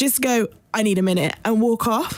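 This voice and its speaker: A woman speaks in a British accent at a fairly high pitch. Her intonation is lively, and there is noticeable background noise. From Trinidad and US Air Force bases. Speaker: podcast co-host. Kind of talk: casual chat.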